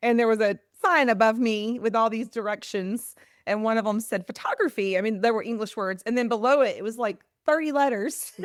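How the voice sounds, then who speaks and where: A woman talks at a fairly quick pace with a Southern US accent. Her fairly high voice shows ordinary pitch variation on a very clean recording with a silent background. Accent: Southern American. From US South. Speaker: literacy advocate. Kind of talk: casual chat.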